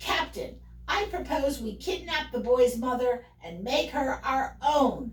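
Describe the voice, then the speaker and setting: A woman puts on a character voice, high in pitch and at a fairly slow pace. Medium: read story.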